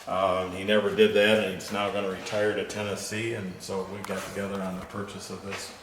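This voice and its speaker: Amid noticeable background noise, a man with a fairly low pitch talks in a flat monotone with big swings in loudness and hardly any pauses. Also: fairly quick pace. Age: 70s. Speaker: car collector. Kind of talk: casual chat. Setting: garage showroom.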